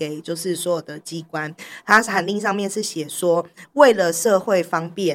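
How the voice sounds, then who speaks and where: A woman's medium-pitched voice at a moderate pace, with ordinary pitch variation, on a very clean recording against a silent background. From Taiwan, Taipei. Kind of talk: interview conversation. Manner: laughs often, hearty laugh.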